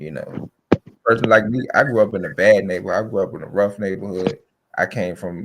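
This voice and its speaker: At a fairly quick speed, an unremarkable speaking voice shows ordinary pitch variation. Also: man, fairly low pitch for a man. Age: 30s. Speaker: podcast guest. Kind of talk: casual chat.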